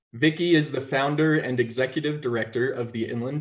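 A somewhat breathy man at a moderate pace, with ordinary pitch variation over a quiet background. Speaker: webinar moderator. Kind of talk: introducing panel speakers. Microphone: video call.

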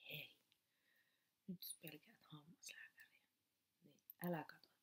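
A woman speaks very slowly. She is soft-spoken. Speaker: ASMR creator, teacher. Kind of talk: casual talk to camera, warning intro. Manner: soft-spoken, humorous. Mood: humorous, self-ironic. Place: home room.

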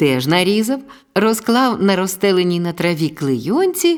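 The reading voice is unforced, with lively intonation.

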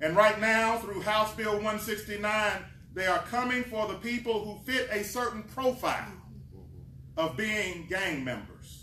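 In a raised, projected voice, a man with a high pitch and ordinary pitch variation talks at a fairly slow pace amid light background noise and audible room echo. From Kentucky. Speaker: community organization president. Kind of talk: speech at press event. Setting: press conference at state Capitol. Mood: earnest, impassioned advocacy. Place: hall. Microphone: camera far.

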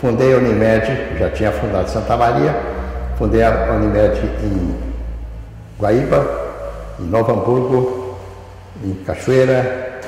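With strong room echo and light background noise, a man speaks at a very slow pace broken by long, frequent pauses. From southern Brazil. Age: 80s+. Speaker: retired radiology professor and physician. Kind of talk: oral history interview answer. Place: hall.

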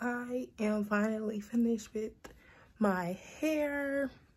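A woman speaks at a fairly high pitch, somewhat breathy. Her pitch varies in an ordinary way. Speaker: lifestyle vlogger. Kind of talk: casual vlog.

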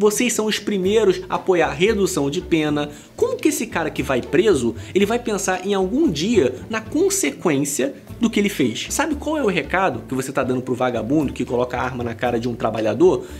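A man talks at a fairly quick pace in a high pitch, with very wide pitch swings. Light background noise can be heard. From Brazil. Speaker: YouTuber reacting to videos. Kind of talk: reaction commentary. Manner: animated. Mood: indignant, mocking. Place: home room.

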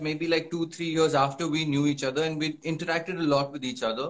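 A man speaks at a fairly quick pace with a fairly high pitch. His intonation stays fairly even. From Punjab. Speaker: actor. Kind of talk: casual chat. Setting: Instagram live video. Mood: friendly, relaxed. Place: home room. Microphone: phone near.

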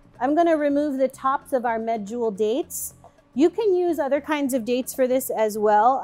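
With faint music in the background, a woman with high pitch talks at a moderate pace and ordinary pitch variation. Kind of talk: cooking tutorial. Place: kitchen.

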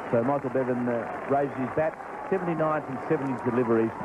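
Noticeable background noise under a man's fairly even, medium-pitched voice. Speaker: cricket commentator. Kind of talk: live sports commentary. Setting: stadium match broadcast, archive recording. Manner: measured, fluent, admiring analysis.

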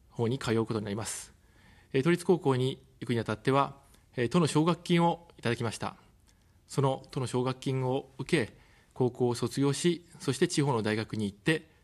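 A man speaks at a medium pitch. His pitch variation is ordinary. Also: moderate pace. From Tokyo. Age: 40s. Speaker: political candidate, former journalist; candidate, former journalist. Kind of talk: campaign broadcast speech. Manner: formal. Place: studio. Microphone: studio mic.

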